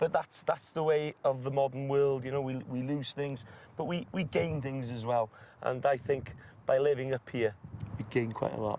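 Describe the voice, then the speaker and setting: With a North Welsh accent, a man talks at a moderate pace in a medium pitch, his tone dark and mellow and his intonation fairly even. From North Wales. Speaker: farmer. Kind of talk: casual chat.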